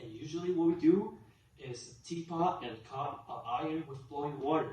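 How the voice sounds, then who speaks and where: A man speaks at a moderate pace with a Chinese accent. Noticeable background noise and audible room echo surround his voice. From China. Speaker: student. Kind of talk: class presentation speech.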